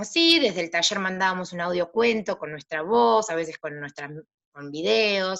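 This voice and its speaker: A woman of medium pitch at a moderate pace, with very wide pitch swings and a quiet background. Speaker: psychologist and practicum supervisor. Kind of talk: panel talk. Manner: halting.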